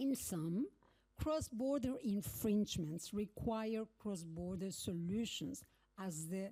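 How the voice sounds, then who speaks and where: With a Spanish accent, a woman speaks very slowly at a medium pitch, her dark, mellow tone somewhat breathy and her intonation lively. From Argentina. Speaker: legal academic, keynote speaker. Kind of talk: keynote speech. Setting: conference stage with audience. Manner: formal.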